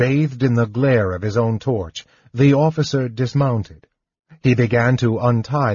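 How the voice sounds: Over a quiet background, a natural reading voice carries fairly even intonation.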